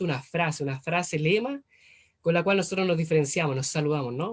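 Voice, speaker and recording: A man's high-pitched voice at a fairly quick pace. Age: 20s. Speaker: preacher. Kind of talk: sermon. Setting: video call. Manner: animated.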